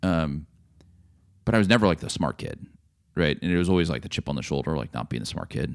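Lively intonation and vocal fry mark this very fast delivery. Long, frequent pauses break it up. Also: man, very deep, low pitch for a man. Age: 40s. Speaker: entrepreneur. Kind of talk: casual chat. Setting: studio.

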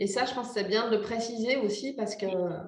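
Through audible room echo, a woman speaks at a moderate pace in a fairly high pitch with ordinary pitch variation. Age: 40s. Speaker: animal communicator. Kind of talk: interview.

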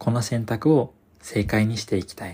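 Somewhat breathy and fairly slow, a man speaks at a medium pitch with a dark, mellow tone. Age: 20s. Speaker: podcast host. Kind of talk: solo monologue. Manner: formal.

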